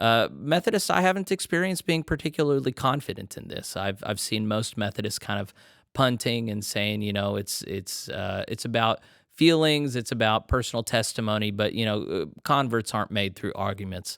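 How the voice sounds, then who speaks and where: With a plain, everyday voice, a man at medium pitch speaks at a moderate pace with lively intonation on a very clean recording with a silent background. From Texas. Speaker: podcast host. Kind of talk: interview conversation.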